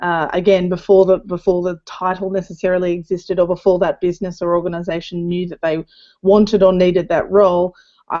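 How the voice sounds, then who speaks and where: A woman with an Australian accent speaks at medium pitch and a fairly quick pace, with monotone, flat intonation. Her tone is dark and mellow, and the background is quiet. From Australia (Darwin). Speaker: community manager. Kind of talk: panel discussion.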